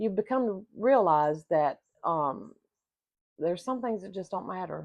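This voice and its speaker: Speaking at a moderate pace, a woman with a normal speaking voice uses lively intonation. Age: 60s. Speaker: vlogger on retirement life. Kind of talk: casual talk to camera. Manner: conversational, with frequent fillers.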